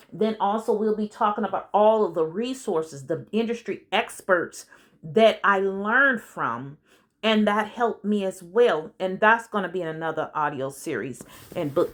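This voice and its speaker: A woman with a plain, everyday voice speaks at a medium pitch and moderate pace with lively intonation, in a very clean recording with a silent background. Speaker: business coach and consultant. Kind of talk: audiobook narration with casual asides. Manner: conversational, informal.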